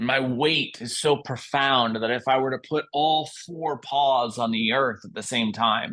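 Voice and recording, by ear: Someone is reading aloud in a natural voice, the pitch moving a usual amount.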